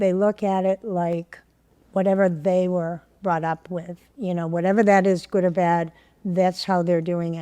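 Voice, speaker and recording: In a dark, mellow tone and a medium pitch, a woman speaks fairly slowly with monotone, flat intonation. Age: 70s. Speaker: podcast guest. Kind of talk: podcast conversation. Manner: candid, humorous.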